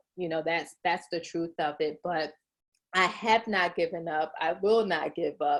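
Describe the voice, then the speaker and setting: A woman's fairly low-pitched voice, a normal speaking voice, at a moderate pace on a very clean recording with a silent background. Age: 40s. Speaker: business coach and author. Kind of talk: interview podcast.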